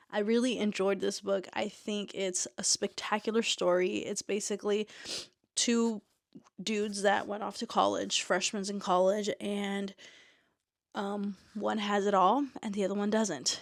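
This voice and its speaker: At a fairly slow pace, a woman speaks in a flat monotone at a medium pitch, captured on a very clean recording with a silent background. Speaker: booktuber and indie author. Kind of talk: casual book review vlog. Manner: casual with fillers.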